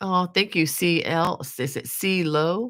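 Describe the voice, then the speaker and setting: A woman speaks with a bright, sharp tone. Vocal fry runs through her voice. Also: very clean recording, silent background. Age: 60s. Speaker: crochet designer and livestream host. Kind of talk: casual livestream chat reading viewer comments. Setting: live video stream. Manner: halting, with many fillers.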